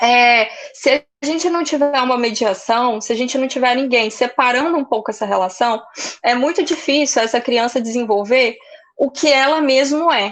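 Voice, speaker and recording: This woman's high pitch carries ordinary pitch variation as she talks at a moderate pace. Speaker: psychoanalyst. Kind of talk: lecture.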